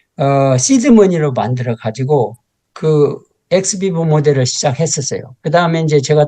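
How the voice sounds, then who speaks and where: A man with a somewhat breathy, dark, mellow voice, fairly high in pitch, talks at a moderate pace with ordinary pitch variation. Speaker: professor. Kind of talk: lecture. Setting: lecture hall with audience. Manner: halting.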